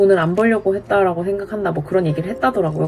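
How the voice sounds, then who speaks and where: A woman's voice shows ordinary pitch variation against noticeable background noise. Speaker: vlogger sharing her divorce. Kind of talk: casual vlog monologue. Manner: direct.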